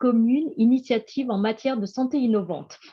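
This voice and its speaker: The speaker is a woman talking rather slowly. Some breathiness runs through her voice. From France. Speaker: EU programme scientific project manager. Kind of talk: webinar presentation. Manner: halting.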